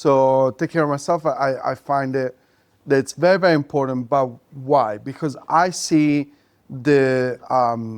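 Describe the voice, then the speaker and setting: Fairly slow speech in an Italian accent with fairly even intonation. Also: man, fairly high pitch for a man. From Italy. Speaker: podcast host. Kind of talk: casual chat.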